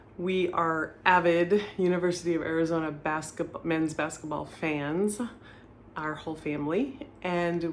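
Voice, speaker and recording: A woman talks at a fairly slow pace in a fairly low pitch, her intonation fairly even. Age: 50s. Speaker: retired real estate agent, reseller. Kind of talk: casual talk to camera.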